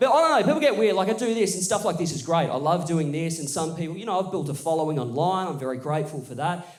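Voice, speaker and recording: A man with an Australian accent, fairly high pitch and lively intonation, amid audible room echo and noticeable background noise. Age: 20s. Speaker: stand-up comedian. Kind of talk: stand-up. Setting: stage with audience.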